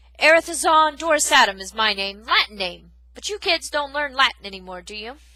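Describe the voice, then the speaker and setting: A woman puts on a shrill yet gruff character voice, bellowing at a high pitch with very wide pitch swings. Her pace is fairly quick. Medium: read story. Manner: gruff, insulting, bellowing.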